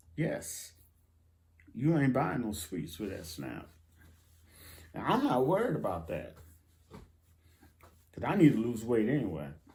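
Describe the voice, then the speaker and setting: The voice has a dark, mellow tone with vocal fry and very wide pitch swings. It moves at a fairly slow pace with long, frequent pauses and audible room echo. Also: man, medium pitch for a man. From United States. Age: 60s. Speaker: YouTuber, benefits news commentator. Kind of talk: casual vlog commentary. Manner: animated, emphatic.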